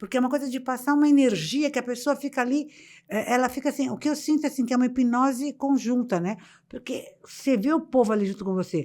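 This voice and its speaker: Over a silent background on a very clean recording, a woman talks at a very fast pace in a high pitch with ordinary pitch variation. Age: 70s. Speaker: motivational speaker. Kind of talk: interview conversation. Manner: animated.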